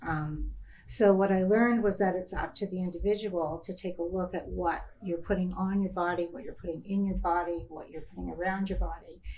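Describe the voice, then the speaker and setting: A woman's somewhat breathy, fairly low-pitched voice at a fairly quick pace. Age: 60s. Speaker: entrepreneur, founder of a natural beauty products company. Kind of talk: panel discussion. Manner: casual, hesitant with many fillers.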